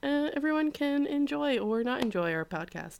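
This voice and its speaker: In a very clean recording with a silent background, a woman with a Canadian accent talks at a moderate pace, her pitch swinging very widely. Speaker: podcast co-host. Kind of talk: casual chat.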